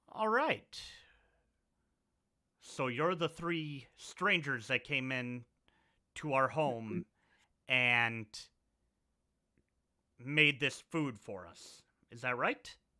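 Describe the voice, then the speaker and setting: A man puts on a gruff character voice at medium pitch, speaking at a very slow pace with long, frequent pauses and lively intonation. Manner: gruff, questioning.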